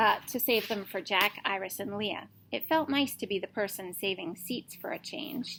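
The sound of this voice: Unforced reading in one voice.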